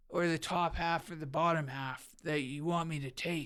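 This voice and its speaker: A woman's raspy, put-on character voice on a very clean recording with a silent background. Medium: cartoon. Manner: hesitant, filler-heavy, casual.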